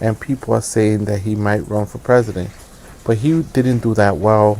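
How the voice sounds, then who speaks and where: Over noticeable background noise, a man speaks with fairly even intonation in a fairly low pitch. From United States, child of immigrants. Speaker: political commentator. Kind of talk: live stream monologue. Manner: hesitant, many fillers.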